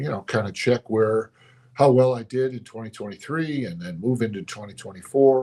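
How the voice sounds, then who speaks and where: A man speaks with ordinary pitch variation in a somewhat breathy voice. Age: 60s. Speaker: pastor. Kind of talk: motivational talk. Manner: reflective, conversational.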